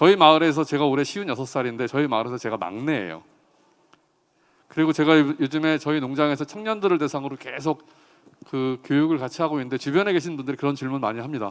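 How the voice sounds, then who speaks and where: This man's voice is fairly high-pitched, with ordinary pitch variation. He talks at a very fast pace. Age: 50s. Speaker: farmer and agricultural economist. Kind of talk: talk concert speech.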